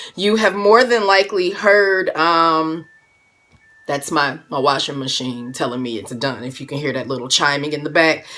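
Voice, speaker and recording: A woman speaks in an animated tone with lively intonation, big swings in loudness and a very deep, low pitch. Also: moderate pace. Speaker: music producer and live streamer. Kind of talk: casual live stream chat.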